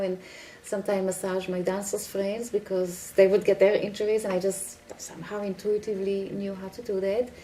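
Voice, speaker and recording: Noticeable noise runs behind the speech. The talking goes at a fairly quick clip. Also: woman. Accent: Israeli. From Israel. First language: Hebrew. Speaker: healer and dancer. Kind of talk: interview.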